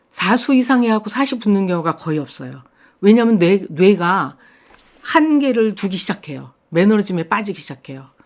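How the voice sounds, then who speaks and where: On a very clean recording with a silent background, a woman with a medium pitch and lively intonation talks at a fairly quick pace. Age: 60s. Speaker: watercolor artist. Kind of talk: casual talk to camera. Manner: hesitant fillers.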